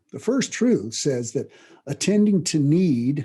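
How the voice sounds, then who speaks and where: A man talks at a fairly slow pace in a dark, mellow tone. His voice is somewhat breathy, with lively intonation. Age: 60s. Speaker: self-improvement teacher. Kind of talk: lecture. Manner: halting, frequent restarts; casual, conversational.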